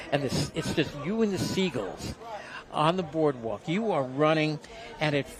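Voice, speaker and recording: Against noticeable background noise, a man with a Brooklyn accent speaks at a fairly high pitch, with ordinary pitch variation. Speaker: boxing commentator. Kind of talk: casual chat; live commentary. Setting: ringside at boxing event.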